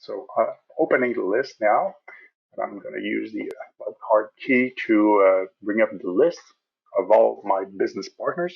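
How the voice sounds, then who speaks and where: Speaking in a French Canadian accent, a man keeps a moderate pace. He leaves long, frequent pauses, and the background is quiet. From Quebec. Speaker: software support specialist; software trainer. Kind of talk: tutorial. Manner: hesitant, many fillers.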